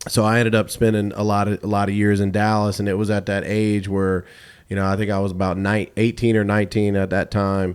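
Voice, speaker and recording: This man talks very fast with an American accent and a fairly low pitch. His intonation stays monotone and flat. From US South, Atlanta. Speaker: DJ and radio host. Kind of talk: casual interview. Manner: halting, repetitive starts.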